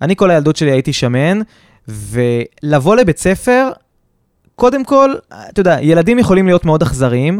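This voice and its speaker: With a high pitch, very wide pitch swings and an animated tone, a man talks at a moderate pace, his loudness very even and his speech marked by long, frequent pauses. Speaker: podcast co-host, businessman. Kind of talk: casual chat. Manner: halting.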